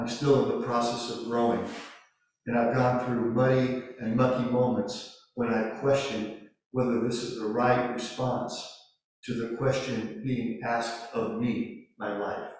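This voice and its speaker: Flat, monotone speech comes at a fairly slow pace, with audible room echo. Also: man, medium pitch for a man. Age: 60s. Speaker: Zen priest giving a Dharma talk. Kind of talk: Dharma talk.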